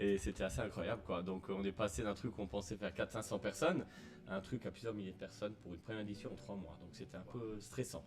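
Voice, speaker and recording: A man talks very fast at a fairly low pitch, his voice swinging very widely up and down. Noticeable background noise runs under him. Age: 40s. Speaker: festival director and entrepreneur. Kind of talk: interview. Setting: live stream at outdoor festival.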